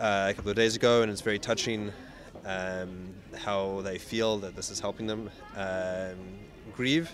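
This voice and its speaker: Long, frequent pauses and fairly even intonation, with music in the background. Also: man, fairly low pitch for a man, moderate pace. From New Zealand. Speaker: ocean racing sailor. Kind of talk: interview. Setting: outdoors. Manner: halting.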